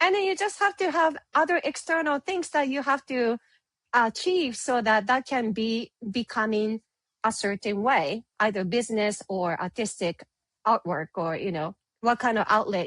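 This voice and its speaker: In a Japanese accent, a woman speaks at a fairly high pitch with very wide pitch swings and a moderate pace. The sound is dry and close, with no echo. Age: 30s. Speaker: photographer and business owner. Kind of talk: interview.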